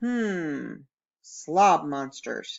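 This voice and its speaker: This woman's pitch is fairly low. She uses a put-on character voice. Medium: read story. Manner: mock-serious, dramatic.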